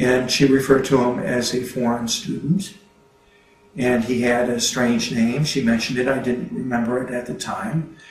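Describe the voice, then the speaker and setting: Audible room echo and noticeable background noise surround a man talking at a moderate pace. His pitch is medium and his intonation fairly even. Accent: American. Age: 60s. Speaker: retired mail carrier. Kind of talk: interview testimony. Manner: halting, many fillers.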